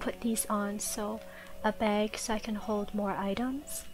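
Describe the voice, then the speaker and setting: A soft-spoken woman talks at a very slow pace in a relaxed tone, with music playing in the background. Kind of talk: soft-spoken gameplay tutorial narration. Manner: soft-spoken, relaxed.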